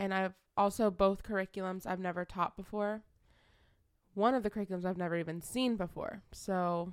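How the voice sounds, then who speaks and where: A woman at medium pitch and a fairly quick pace, intonation fairly even, in a very clean recording with a silent background. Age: 20s. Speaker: podcast co-host, substitute teacher. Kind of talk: casual chat.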